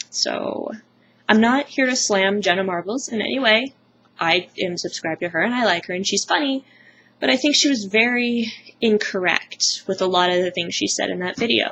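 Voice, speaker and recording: A woman speaks at medium pitch. Her pace is moderate. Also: lively intonation. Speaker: vlogger. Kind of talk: casual vlog monologue. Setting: at home, close to camera. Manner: loud. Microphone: webcam mic, sound very quiet; poor sound quality.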